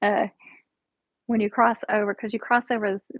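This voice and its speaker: A woman talks with fairly even intonation. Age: 40s. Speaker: diet vlogger streaming live. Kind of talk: casual live stream chat answering viewer comments. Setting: live stream at home. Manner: casual, chatty.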